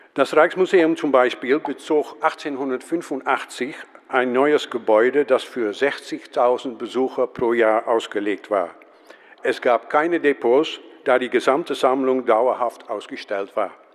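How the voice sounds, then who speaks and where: A man at a medium pitch with ordinary pitch variation, fairly slow in pace, amid noticeable background noise. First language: Dutch (speaking German). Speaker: museum professional, conference speaker. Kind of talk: conference talk read from script. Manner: reading aloud, hesitant with fillers.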